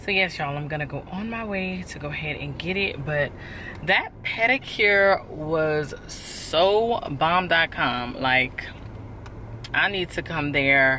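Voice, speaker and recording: A woman's fairly low, lively voice at a very slow pace, against noticeable background noise. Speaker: lifestyle vlogger. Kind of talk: casual vlog talk to camera. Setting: in a car. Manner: casual, chatty.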